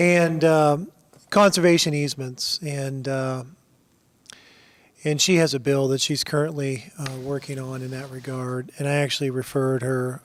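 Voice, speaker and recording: Soft-spoken and at medium pitch, a man talks at a moderate pace with fairly even intonation. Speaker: state legislator. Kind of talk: committee hearing remarks. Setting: committee roundtable hearing.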